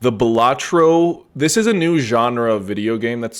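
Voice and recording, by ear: Someone reads aloud in a natural voice.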